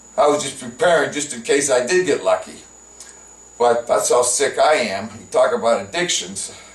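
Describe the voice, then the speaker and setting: A man's voice rises and falls in big swings of loudness. Noticeable background noise sits behind it. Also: moderate pace. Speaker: comedian. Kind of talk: improvised casual talk to camera. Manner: halting, many filler words.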